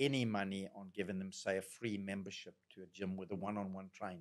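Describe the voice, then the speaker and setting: A Zimbabwean-accented man, fairly low-pitched and fairly quick, with fairly even intonation against a quiet background. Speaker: general practitioner doctor; guest. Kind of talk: podcast interview conversation; interview answer. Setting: studio. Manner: very talkative, goes off on tangents. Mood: relaxed, thoughtful. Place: studio. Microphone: studio mic.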